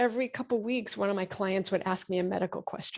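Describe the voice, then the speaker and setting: A woman speaks in an American accent at a medium pitch with ordinary pitch variation. The recording is very clean and the background silent. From Massachusetts, Framingham. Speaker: doctor. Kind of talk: interview.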